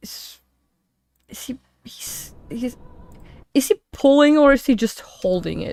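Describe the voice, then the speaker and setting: With a non-native accent, a woman speaks at a very slow pace in a high pitch, with lively intonation, big swings in loudness and long, frequent pauses. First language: not English. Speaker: gaming streamer. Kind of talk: live reaction commentary. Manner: halting, many fillers and restarts.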